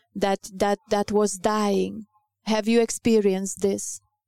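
A woman speaks in a medium pitch with little pitch movement, her clear, smooth tone also dark and mellow with vocal fry, recorded with a dry, close sound and no echo.

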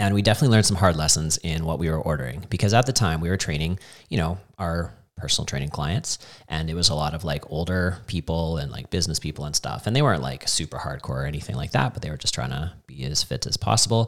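A man with a very deep, low pitch and vocal fry talks very fast with lively intonation. The recording is very clean, the background silent. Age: 40s. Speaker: CrossFit coach and gym owner. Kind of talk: casual chat.

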